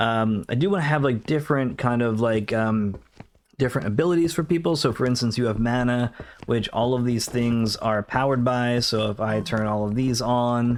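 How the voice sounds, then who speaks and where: A soft-spoken man talks at a moderate pace and medium pitch. His pitch varies in an ordinary way, and his loudness stays very even. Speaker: game developer streamer. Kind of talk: casual livestream chat. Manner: halting.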